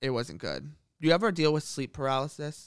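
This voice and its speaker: The recording is very clean, with a silent background. A man with a medium pitch and vocal fry talks at a fairly quick pace. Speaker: podcast co-host. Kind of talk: casual chat.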